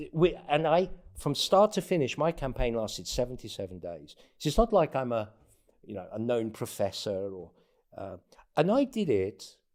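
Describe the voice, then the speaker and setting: A man talks at a moderate pace with a Greek accent, using very wide pitch swings and big swings in loudness. His speech has long, frequent pauses. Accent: non-native Greek. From abroad; North Africa, England and US. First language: not Greek. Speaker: presidential candidate. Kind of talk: casual interview conversation. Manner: halting, repeats words.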